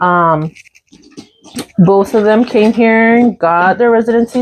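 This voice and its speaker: A woman's fairly high voice with an American accent, ordinary pitch variation and a fairly slow pace. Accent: Mexican American English. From US, Mexican American family. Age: 30s. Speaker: co-host of a chat channel. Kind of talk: casual chat.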